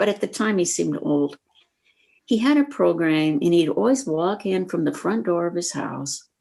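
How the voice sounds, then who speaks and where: A woman's dark, mellow voice with an American accent, moderate pace, and very wide pitch swings. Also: fairly low pitch for a woman. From small-town Iowa. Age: 70s. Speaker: senior interviewee. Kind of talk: casual interview.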